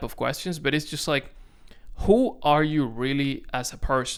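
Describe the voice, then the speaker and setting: A man's fairly high voice with a Dominican accent, at a moderate pace. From Dominican Republic. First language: Spanish. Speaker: content creator. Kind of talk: casual vlog to camera. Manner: halting, self-correcting.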